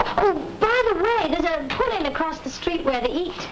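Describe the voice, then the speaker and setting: A squeaky put-on character voice at a moderate pace, with clear background noise. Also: woman, extremely high pitch for a woman. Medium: short film. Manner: playful, flirty.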